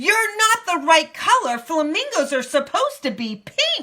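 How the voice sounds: A woman puts on a character voice at an extremely high pitch with big pitch swings. Her tone is bright and sharp, and her pace is fairly slow.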